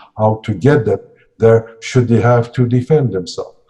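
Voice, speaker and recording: A dark, mellow tone, somewhat breathy, at a fairly quick pace. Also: man. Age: 60s. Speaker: security and emergency training consultant. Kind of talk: interview. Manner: halting.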